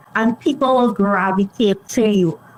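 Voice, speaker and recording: Fairly high-pitched female speech in a Caribbean accent, at a moderate pace with ordinary pitch variation, over noticeable background noise. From Trinidad and Tobago. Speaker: public relations consultant. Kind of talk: podcast interview.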